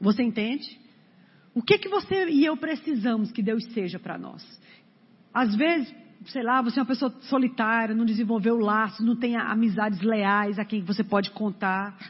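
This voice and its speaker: A woman's somewhat breathy voice, fairly high in pitch, moves at a moderate pace with ordinary pitch variation. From Brazil, Fortaleza (Ceará). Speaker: preacher. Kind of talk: sermon. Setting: church.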